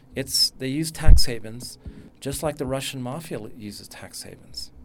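Background noise is noticeable throughout. The voice carries an American accent. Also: man. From California. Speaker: futures researcher. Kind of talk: panel discussion.

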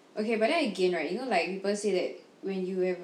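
A woman's medium-pitched voice holds a fairly even intonation over noticeable background noise. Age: 20s. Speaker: podcast co-host. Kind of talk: casual chat.

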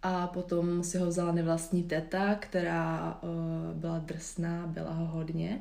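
In a room with audible echo, a woman speaks at a very slow pace in a fairly low pitch, her tone dark and mellow and her intonation fairly even. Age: 20s. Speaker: yoga instructor and nutrition advisor. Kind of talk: casual interview. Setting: recorded at guest's home. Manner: hesitant, many fillers.

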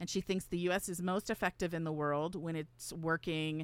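Recorded very cleanly over a silent background, a woman has a plain, everyday voice, fairly low in pitch with ordinary pitch variation. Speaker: political science professor and radio host. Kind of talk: radio talk show, explanatory. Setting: radio studio.

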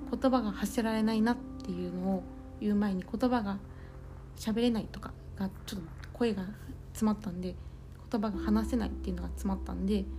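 A woman speaks at a fairly quick pace but with long, frequent pauses. Audible room echo and noticeable background noise fill the recording. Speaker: podcaster. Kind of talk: personal audio diary.

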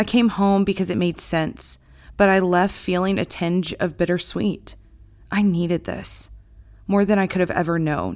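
On a very clean recording with a silent background, a woman with an American accent speaks at medium pitch and a moderate pace with fairly even intonation. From Texas, small town north of Dallas. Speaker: author. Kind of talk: reading aloud.

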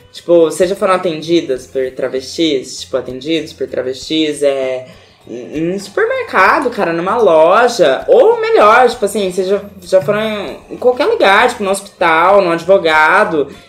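A woman speaks at a medium pitch and a fairly slow pace with lively intonation and hardly any pauses. Noticeable background noise is present. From Brazil, Paraná (Arapongas). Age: 20s. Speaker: makeup artist. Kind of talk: casual interview chat. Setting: at home, drinking beer.

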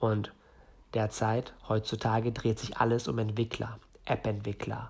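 A man talks at a fairly slow pace with a fairly low pitch and vocal fry. His intonation stays monotone and flat. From northern Germany. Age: 20s. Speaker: entrepreneur podcaster. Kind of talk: solo podcast monologue.

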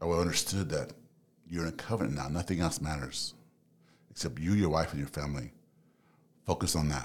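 Speaking at a fairly quick pace with an American accent, a man with a very deep, low pitch shows vocal fry and ordinary pitch variation. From Los Angeles, US. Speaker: psychology student and relationship podcaster. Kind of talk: casual interview.

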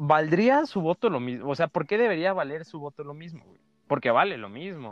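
A man with a Mexican accent talks at a fairly quick pace in a fairly high voice with lively intonation and big swings in loudness. The sound is dry and close, with no echo. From Mexico, Chiapas (Tuxtla). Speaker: podcast host. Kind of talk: casual chat. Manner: halting.

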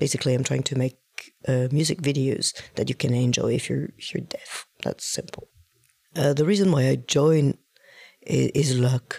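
A French accent with long, frequent pauses. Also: moderate pace. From southern France, Marseille. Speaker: singer-songwriter. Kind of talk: testimony. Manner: halting.

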